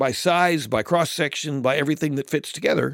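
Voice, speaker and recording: Vocal fry from a man at a moderate pace, on a very clean recording with a silent background. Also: dry, close sound with no echo. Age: 60s. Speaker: guest host. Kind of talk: casual chat. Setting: studio.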